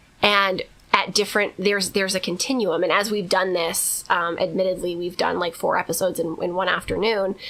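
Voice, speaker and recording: Over noticeable background noise, a woman talks at a fairly quick pace and medium pitch, with monotone, flat intonation and hardly any pauses. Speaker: podcast co-host. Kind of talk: casual chat. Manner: fast; loud.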